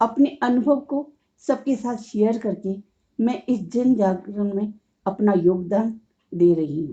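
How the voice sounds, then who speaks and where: A woman speaks in a fairly high pitch with lively intonation. Her tone is dark and mellow. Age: 60s. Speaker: COPD patient and awareness podcaster. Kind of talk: motivational monologue.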